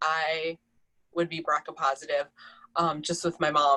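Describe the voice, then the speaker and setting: A woman with a Minnesotan accent, a bright, sharp tone and fairly even intonation. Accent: Minnesota. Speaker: breast cancer survivor. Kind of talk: personal testimony.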